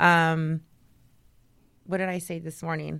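A woman with an American accent, fairly low in pitch, an ordinary speaking voice with fairly even intonation at a moderate pace, on a very clean recording with a silent background. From Texas, Dallas. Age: 30s. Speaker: nurse. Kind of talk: casual chat.

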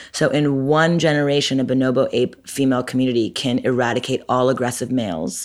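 This woman has a very deep, low voice with ordinary pitch variation. She talks at a fairly quick pace with hardly any pauses on a very clean recording with a silent background. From Montreal, Quebec. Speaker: entrepreneur and author. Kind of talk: casual interview. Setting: office.

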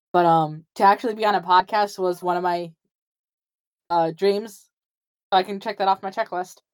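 A woman with an Upper Midwest accent speaks at a moderate pace in a medium pitch, her intonation fairly even. She leaves long, frequent pauses. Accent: Upper Midwest American. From Wisconsin, US Upper Midwest. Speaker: TikTok creator and artist. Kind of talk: casual interview.

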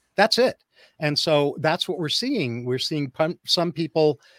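A man's fairly high voice, an ordinary speaking voice, at a fairly slow pace with ordinary pitch variation, dry and close with no echo, in a very clean recording with a silent background. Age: 60s. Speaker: psychologist. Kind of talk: interview. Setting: radio studio interview.

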